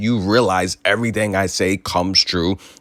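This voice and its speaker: The voice sounds animated at a moderate pace, with ordinary pitch variation and a dry, close sound with no echo. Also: man. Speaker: sports commentary host. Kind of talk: sports news commentary.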